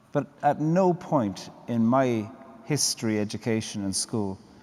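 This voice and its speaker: Medium in pitch, a man talks with an Irish accent. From Ireland. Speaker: poet and theologian. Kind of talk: panel conversation. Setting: church with live audience.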